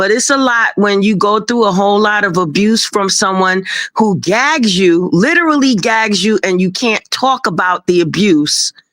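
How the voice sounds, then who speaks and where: A woman with a New York accent talks in an animated tone with lively intonation, keeping her loudness very even and hardly pausing at all. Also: medium pitch for a woman, moderate pace. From Brooklyn, New York. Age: 60s. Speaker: guest on a livestream talk show. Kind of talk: casual chat.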